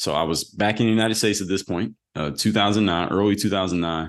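Here a man talks very fast in a Philadelphia accent. His intonation is fairly even, and the background is quiet. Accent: Philadelphia American English. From US Northeast, Philadelphia. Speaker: former pro basketball player turned entrepreneur. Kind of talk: interview.

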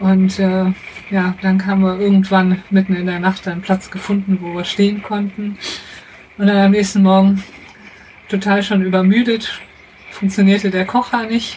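Over noticeable background noise, a woman at medium pitch speaks in a monotone, flat intonation at a moderate pace with long, frequent pauses. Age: 30s. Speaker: mechanical engineer, traveller. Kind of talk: casual interview. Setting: in a motorhome.

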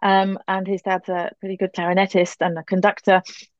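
A woman's voice, dry and close with no echo, over a quiet background. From northern England. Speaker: conductor. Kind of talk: casual interview chat. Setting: video call.

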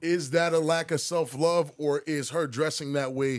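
A man's unremarkable speaking voice, fairly high in pitch, with ordinary pitch variation, a fairly slow pace and a very clean recording against a silent background. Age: 30s. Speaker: podcast co-host. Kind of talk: casual chat.

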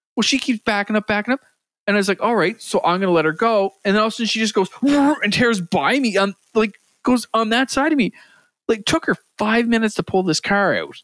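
Very fast and with very even loudness, a man with an Atlantic Canadian accent speaks in a high pitch with ordinary pitch variation, the sound dry and close with no echo in a very clean recording with a silent background. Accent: east coast Canadian, mistaken for Southern US. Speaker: podcast co-host. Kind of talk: casual banter among friends.

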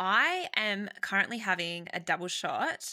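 A woman with an Australian accent is heard in a very clean recording with a silent background and a dry, close sound with no echo. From Sydney, Australia. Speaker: marketing business founder. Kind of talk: casual interview chat.

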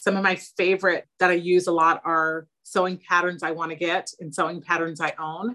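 A woman with an American accent speaks in a fairly low pitch and monotone, flat intonation at a moderate pace with hardly any pauses. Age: 50s. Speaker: therapist and home sewist. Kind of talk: casual interview.

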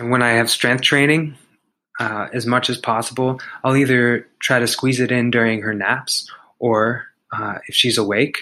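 At a moderate pace, a man speaks at a medium pitch with a bright, sharp tone and fairly even intonation.

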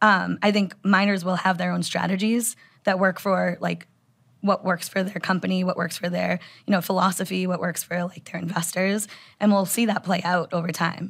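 At a moderate pace, a woman with a medium pitch speaks in a monotone, flat intonation with vocal fry. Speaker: bitcoin mining analyst. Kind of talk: casual interview conversation. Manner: frequent filler words.

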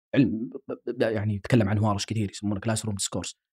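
A man's somewhat breathy voice with a dark, mellow tone at a moderate pace, dry and close with no echo. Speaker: linguistics professor and researcher. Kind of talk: interview conversation.

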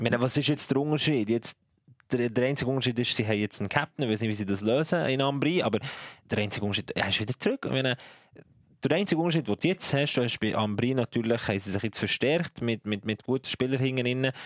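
Very fast speech with ordinary pitch variation comes through in a dry, close sound with no echo. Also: man, medium pitch for a man. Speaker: ice hockey journalist. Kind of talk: casual chat.

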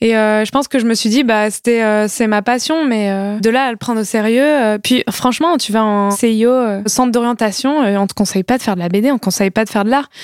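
Talking at a fairly quick pace, a woman has an unremarkable speaking voice with a fairly high pitch. Her pitch varies in an ordinary way. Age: 20s. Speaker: comic book author. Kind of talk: casual chat.

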